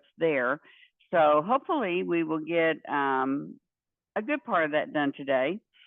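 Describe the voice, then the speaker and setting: This woman has a very deep, low pitch. She speaks with a Texan accent. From Central Texas. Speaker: university professor. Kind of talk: lecture. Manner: casual with many fillers.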